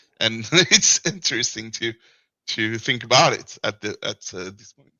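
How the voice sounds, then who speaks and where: Speaking with a French accent, a man at medium pitch shows big swings in loudness. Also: lively intonation, fairly slow pace. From France. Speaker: caller. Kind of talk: casual chat. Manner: halting.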